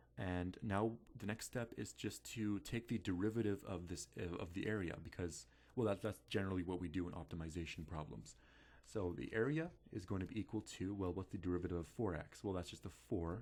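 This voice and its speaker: A man with vocal fry speaks at a fairly quick pace in a very deep, low voice with ordinary pitch variation. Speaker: math tutor. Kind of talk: tutorial. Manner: halting, many fillers.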